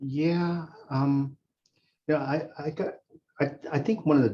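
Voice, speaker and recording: This man's voice has a dark, mellow tone and is somewhat breathy. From East Tennessee. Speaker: physician. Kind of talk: discussion. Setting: video call. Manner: halting.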